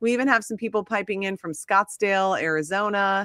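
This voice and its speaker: A woman talks at a fairly quick pace in an animated, bright, sharp tone with a medium pitch, ordinary pitch variation and an American accent. The recording is very clean, with a silent background and a dry, close sound with no echo. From Minnesota. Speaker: skincare brand host. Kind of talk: live-stream chat.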